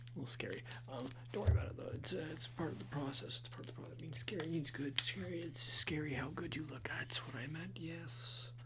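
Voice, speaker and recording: Over loud background noise, a soft-spoken man talks very fast with ordinary pitch variation. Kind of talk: roleplay addressing viewer as model. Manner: soft, close ASMR murmur. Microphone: phone near.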